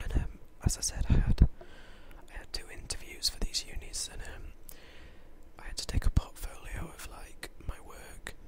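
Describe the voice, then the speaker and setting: A man whispering at a moderate pace, with long, frequent pauses, big swings in loudness, and noticeable background noise. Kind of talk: casual talk to camera. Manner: casual, chatty, rambling.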